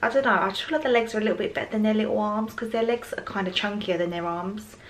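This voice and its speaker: A woman with fairly high pitch and lively intonation, with noticeable background noise. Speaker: parenting vlogger. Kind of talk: casual vlog talk to camera.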